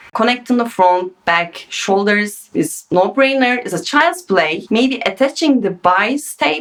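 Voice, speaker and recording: Fairly slow speech with a non-native accent. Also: woman. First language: not English. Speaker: sewing pattern designer. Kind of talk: tutorial. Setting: home sewing studio. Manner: casual, unscripted.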